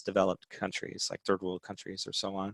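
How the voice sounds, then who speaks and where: Here a man talks at a very fast pace. His voice is fairly low, and the sound is dry and close with no echo. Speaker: educational technology presenter. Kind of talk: webinar presentation. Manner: halting, many fillers.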